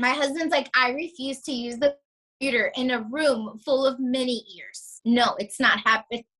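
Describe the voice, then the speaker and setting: In an American accent, a raised, projected voice with a bright, sharp tone speaks at a fairly slow pace. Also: woman. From South Florida. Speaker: surgical tech and small business owner. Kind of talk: casual interview chat. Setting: video call. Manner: animated.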